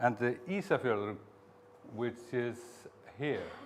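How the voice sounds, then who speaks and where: A man with an Icelandic accent speaks at a fairly slow pace. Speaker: museum director and researcher. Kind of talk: conference talk. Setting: conference with audience. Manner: halting; reading aloud from script.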